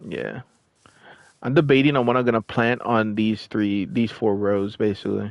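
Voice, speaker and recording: Here a man speaks in a normal speaking voice, fairly low in pitch, with ordinary pitch variation at a moderate pace. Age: 30s. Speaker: gaming streamer. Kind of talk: casual chat. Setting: live stream.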